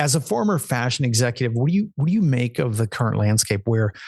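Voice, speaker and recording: Over a quiet background, a man of medium pitch with an American accent speaks fairly quickly, somewhat breathy and with lively intonation. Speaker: podcast host. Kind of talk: interview.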